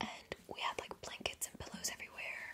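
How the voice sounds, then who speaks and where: A woman's whispering moves at a moderate pace while noticeable background noise carries on behind it. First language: German. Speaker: ASMR YouTuber. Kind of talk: casual Q&A chat.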